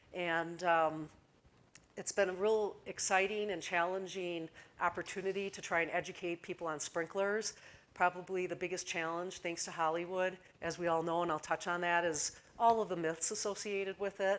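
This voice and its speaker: A woman speaks with a Midwestern accent in a fairly low pitch. Her intonation is monotone and flat, on a very clean recording with a silent background. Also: moderate pace. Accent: Midwestern twang. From US Midwest. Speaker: fire safety communications manager. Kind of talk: conference presentation. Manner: hesitant with fillers.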